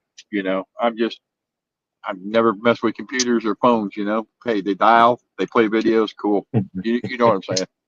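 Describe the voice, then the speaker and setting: At a moderate pace, a man with a medium pitch speaks in a dry, close sound with no echo. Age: 60s. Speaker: knife collector. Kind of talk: casual chat. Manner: halting, many repeated words.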